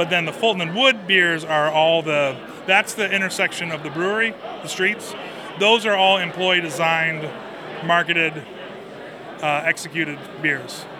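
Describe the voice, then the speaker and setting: Noticeable background noise and audible room echo accompany a high-pitched man speaking at a moderate pace with ordinary pitch variation and long, frequent pauses. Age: 40s. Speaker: brewer. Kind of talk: interview.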